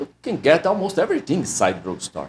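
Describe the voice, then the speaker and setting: A man's voice swings very widely in pitch. Vocal fry runs through his speech. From Brazil. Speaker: immigration lawyer. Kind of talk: personal story monologue. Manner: halting.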